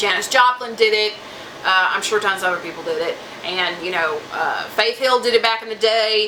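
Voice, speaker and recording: Over noticeable background noise, a woman with an American accent talks at a fairly high pitch with ordinary pitch variation. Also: moderate pace. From Southeast Texas. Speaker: music reviewer / YouTuber. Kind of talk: casual music review vlog. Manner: conversational, many fillers and restarts.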